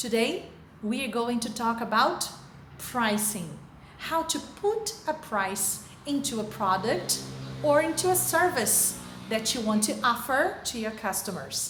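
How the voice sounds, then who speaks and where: Over noticeable background noise and audible room echo, a woman speaks at a fairly high pitch and a fairly slow pace with lively intonation. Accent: Brazilian Portuguese. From Brazil. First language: Portuguese. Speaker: teacher. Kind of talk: lecture. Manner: careful, deliberate.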